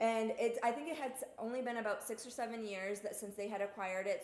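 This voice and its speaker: A woman with an American accent at a very fast pace, over noticeable background noise. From Massachusetts, US. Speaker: rum reviewer, live show host. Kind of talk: live stream casual chat. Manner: animated.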